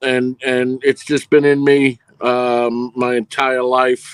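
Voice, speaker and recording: In a strong New York accent, a man talks at medium pitch with monotone, flat intonation, the sound dry and close with no echo. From New York (Brooklyn, Queens). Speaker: film producer and director. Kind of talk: casual interview.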